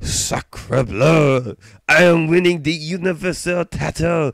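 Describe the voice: Putting on a character voice, a man speaks at a fairly high pitch and a fairly slow pace.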